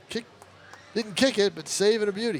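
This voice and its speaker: Background noise is clearly audible under a man talking. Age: 60s. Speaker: baseball color commentator. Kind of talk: live sports commentary with casual chat.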